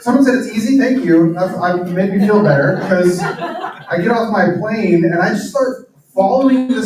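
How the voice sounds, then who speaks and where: With lively intonation, a man talks in a high voice. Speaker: author and pastor. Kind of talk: talk to live audience. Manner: fast.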